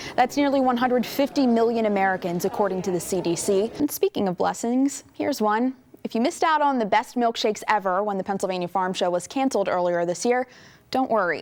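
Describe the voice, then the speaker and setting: Through noticeable background noise, a woman talks at a very fast pace with lively intonation and a fairly high pitch. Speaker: TV news anchor and reporter. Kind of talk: TV news anchor read from the studio desk.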